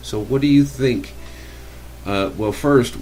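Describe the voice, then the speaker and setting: Heard with audible room echo, a man in an American accent speaks at a moderate pace with very wide pitch swings. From Americas. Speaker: radio host. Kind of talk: interview.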